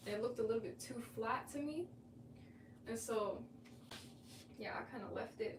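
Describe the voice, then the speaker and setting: A soft-spoken woman talks amid noticeable background noise and audible room echo. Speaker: artist streamer. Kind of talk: casual livestream chat while painting.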